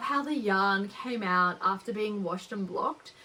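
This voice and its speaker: A woman with an Australian accent at a fairly high pitch and a moderate pace. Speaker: knitting podcaster. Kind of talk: casual chat. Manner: casual, with frequent fillers.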